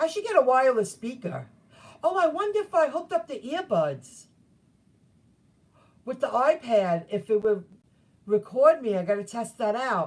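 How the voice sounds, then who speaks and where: A woman shouts loudly in a high voice with very wide pitch swings. Long, frequent pauses break up her speech. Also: moderate pace. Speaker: gig worker vlogger. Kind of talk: casual vlog talk. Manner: loud, screaming to be heard.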